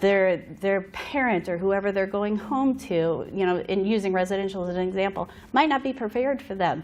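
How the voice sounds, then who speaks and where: At a fairly quick pace, a woman talks with a medium pitch and ordinary pitch variation. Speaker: behavioral health consultant. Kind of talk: conference presentation. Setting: conference room with audience. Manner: fast.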